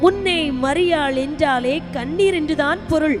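Music plays in the background as a woman talks. Her pitch is high, with ordinary variation. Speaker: Bible college staff narrator.

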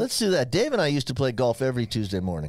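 A man speaks over a quiet background. The sound is dry, with no echo. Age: 60s. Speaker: physician co-host. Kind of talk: casual chat; medical explanation. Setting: studio. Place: studio. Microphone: studio mic.

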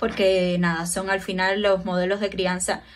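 This woman speaks at a fairly slow pace. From Cuba. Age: 20s. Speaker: clinical psychologist; guest. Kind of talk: casual chat. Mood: calm, explanatory. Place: home room. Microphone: earbuds.

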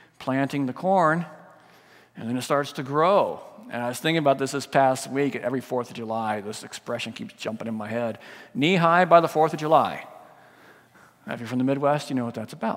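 In quiet surroundings, a man with ordinary pitch variation keeps up a fairly quick pace. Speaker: pastor. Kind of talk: sermon. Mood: warm, lightly humorous. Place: church.

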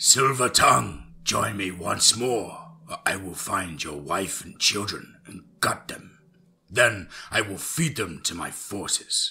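Using a put-on character voice, a man speaks slowly at a low pitch, with vocal fry, a bright, sharp tone and ordinary pitch variation.

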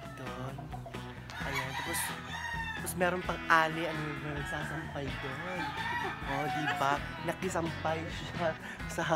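Over loud background music, a woman speaks at a fairly slow pace, with long, frequent pauses. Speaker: vlogger. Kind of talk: casual vlog chat. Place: garden. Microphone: phone near.

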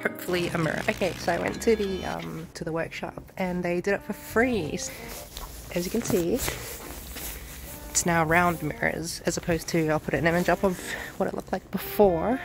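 A woman speaks at a moderate pace with clear music behind her, in a dry sound with no echo. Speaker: motovlogger. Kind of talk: casual vlog chat. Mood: cheerful, upbeat. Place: garden. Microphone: phone near.

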